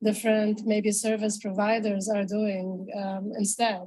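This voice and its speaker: Somewhat breathy and dark and mellow in tone, a woman with a non-native accent speaks at a fairly high pitch and a fairly slow pace in a monotone, flat intonation. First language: not English. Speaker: panel speaker on feminist tech. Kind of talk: panel discussion.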